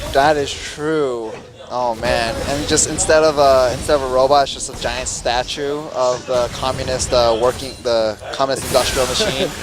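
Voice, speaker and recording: Over music in the background, a man with a medium pitch talks at a moderate pace with fairly even intonation, hardly any pauses and audible room echo. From Korea. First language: Korean. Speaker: esports commentator. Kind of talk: live commentary.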